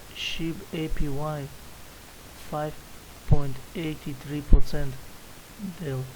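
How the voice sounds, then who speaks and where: A man with a non-native accent, amid audible room echo. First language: not English. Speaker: crypto YouTuber. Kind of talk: screen-share tutorial. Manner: halting, many fillers.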